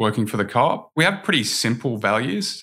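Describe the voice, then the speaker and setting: A man with an Australian accent has a bright, sharp tone. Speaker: dairy company general manager. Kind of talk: interview.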